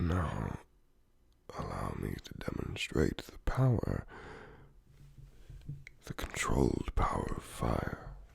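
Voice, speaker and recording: A whisper at a very slow pace, with long, frequent pauses. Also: man. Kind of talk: ASMR roleplay talk to the listener. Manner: whispered.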